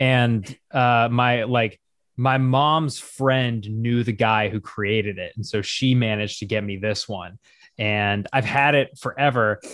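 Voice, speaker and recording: A man with an unremarkable speaking voice and an American accent talks fairly slowly at a medium pitch, with fairly even intonation. The recording is very clean, with a silent background. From US, small town. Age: 20s. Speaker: comedic news content creator. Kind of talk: casual interview.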